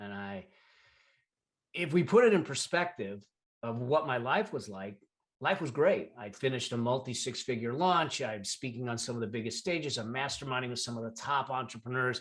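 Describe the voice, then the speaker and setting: A man with a plain, everyday voice, lively intonation, big swings in loudness and a fairly quick pace. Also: medium pitch for a man. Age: 60s. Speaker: entrepreneur and financial expert, podcast guest. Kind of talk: interview, personal testimony.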